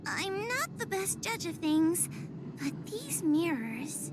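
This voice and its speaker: A female-sounding voice does a put-on character voice at a very slow pace over clear background noise. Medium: game stream. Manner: timid, hesitant.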